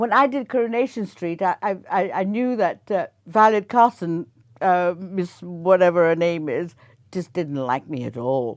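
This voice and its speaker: A woman's normal speaking voice at a medium pitch, fairly slow pace and lively intonation over a quiet background. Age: 60s. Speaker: actress. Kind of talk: interview.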